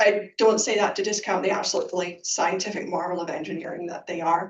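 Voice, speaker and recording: Talking very fast, a woman keeps a medium pitch and fairly even intonation. Her loudness swings widely. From United Kingdom. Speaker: lupus researcher. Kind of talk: panel discussion.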